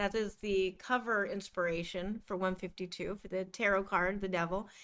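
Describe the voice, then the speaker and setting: A woman talks with a slight Midwestern accent. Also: very clean recording, silent background. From US Midwest. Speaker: podcast co-host. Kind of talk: casual chat.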